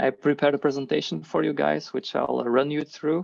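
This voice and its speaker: A man's voice with lively intonation and a fairly quick pace. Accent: non-native. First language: not English. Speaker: agile and leadership coach. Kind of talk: online workshop presentation. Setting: video call.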